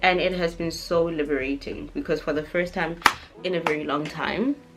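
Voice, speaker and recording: A woman's fairly low-pitched voice at a moderate pace, with ordinary pitch variation and noticeable background noise. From South Africa. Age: 20s. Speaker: beauty vlogger. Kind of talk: casual chat while doing makeup. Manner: animated.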